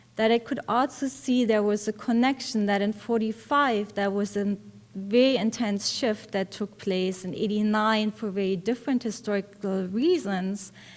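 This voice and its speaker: A woman with a German accent speaks at a moderate pace with hardly any pauses. Her pitch is fairly high, with ordinary pitch variation. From East Germany, East Berlin. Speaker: professor. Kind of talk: conference talk.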